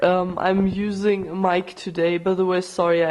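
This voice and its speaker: Over noticeable background noise, someone talks at a moderate pace. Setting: using a microphone.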